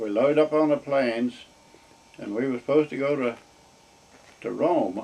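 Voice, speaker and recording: A man talks at a moderate pace with a fairly high pitch and ordinary pitch variation. He leaves long, frequent pauses, and there is noticeable background noise. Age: 80s+. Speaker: war veteran. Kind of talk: interview answer.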